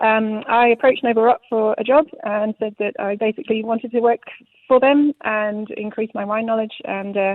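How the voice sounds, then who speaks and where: A woman speaks in a British accent at a moderate pace. Her pitch is fairly high and her intonation fairly even. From UK. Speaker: sommelier. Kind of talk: radio interview. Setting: live radio.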